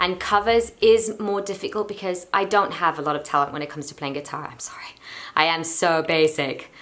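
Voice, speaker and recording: A woman talks at a fairly quick pace in a relaxed tone, her pitch fairly low. Noticeable background noise sits behind her. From London and Portugal. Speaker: YouTuber and singer. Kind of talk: casual Q&A vlog. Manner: chatty, relaxed.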